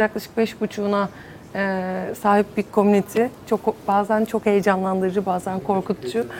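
Her medium pitch and moderate pace give this woman an ordinary speaking voice. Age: 30s. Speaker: entrepreneur. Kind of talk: panel discussion.

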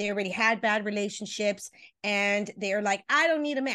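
Against a quiet background, a woman speaks at a moderate pace in an animated tone with ordinary pitch variation. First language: Spanish. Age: 50s. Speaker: relationship coach. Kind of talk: interview.

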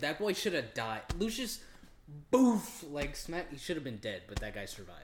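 At a moderate pace, a man talks in a fairly high pitch with vocal fry and very wide pitch swings. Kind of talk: casual podcast chat.

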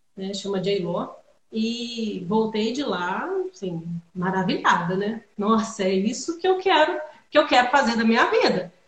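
A woman speaks at a fairly slow pace with lively intonation. Her fairly high voice is somewhat breathy. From Minas Gerais, Brazil (Juiz de Fora). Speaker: winemaker. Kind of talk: casual chat.

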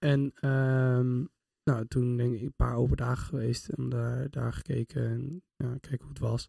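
Speaking fairly slowly with big swings in loudness, a man is captured in dry, close sound with no echo. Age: 20s. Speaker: psychology student. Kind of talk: casual chat.

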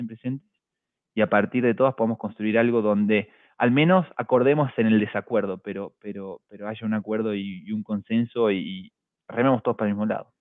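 This is a man with a normal speaking voice. He talks fairly quickly with fairly even intonation. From small town in Argentina. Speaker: fintech executive. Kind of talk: interview.

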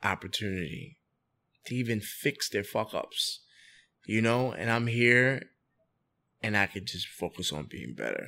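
A man with a New York accent speaks at medium pitch with ordinary variation and a bright, sharp tone, at a fairly slow pace with long, frequent pauses, on a very clean recording with a silent background. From New York City, the Bronx. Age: 30s. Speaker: entrepreneur and restaurant owner. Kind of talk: casual interview.

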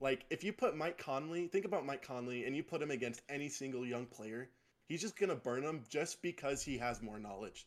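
A man with an American accent, fairly high-pitched, with lively intonation and a fairly quick pace. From Utah, South Jordan. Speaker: podcast co-host, basketball analyst. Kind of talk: casual sports chat.

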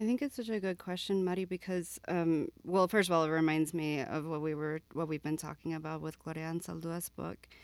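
An unremarkable speaking voice at a fairly quick pace, with ordinary pitch variation, in a very clean recording with a silent background. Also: woman, fairly low pitch for a woman. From Florida (Miami). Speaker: English professor. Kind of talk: casual panel discussion.

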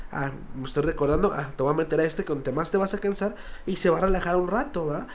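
A man talks very fast in a fairly high register while noticeable background noise runs underneath. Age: 20s. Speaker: children's party clown. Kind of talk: casual interview chat.

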